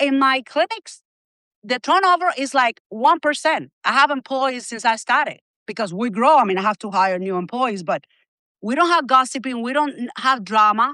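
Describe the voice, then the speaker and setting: A woman's high, bright, sharp voice with a Spanish accent, lively intonation and a moderate pace, in a dry, close sound with no echo over a quiet background. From Cuba. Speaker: healthcare company executive. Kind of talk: interview. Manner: animated.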